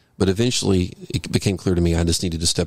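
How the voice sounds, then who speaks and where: Somewhat breathy, a man talks at a very fast pace with a very deep, low pitch and fairly even intonation. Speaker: former pastor and biblical counselor. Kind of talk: podcast interview, personal testimony.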